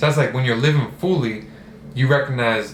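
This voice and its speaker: The voice shows ordinary pitch variation, heard with audible room echo and noticeable background noise. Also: man. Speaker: self-development vlogger. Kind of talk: casual monologue. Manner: casual, hesitant with repetitions.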